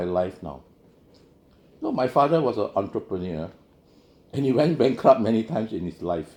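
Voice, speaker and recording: A man with a dark, mellow tone speaks at medium pitch and a fairly quick pace. His pitch swings very widely, and he takes long, frequent pauses. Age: 60s. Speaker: keynote speaker, financial professional. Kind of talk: keynote speech. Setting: conference.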